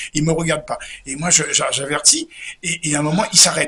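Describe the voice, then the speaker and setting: Noticeable background noise behind speech at a very fast pace. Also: man. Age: 70s. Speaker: comedian. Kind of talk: interview storytelling. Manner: animated; halting, repetitive.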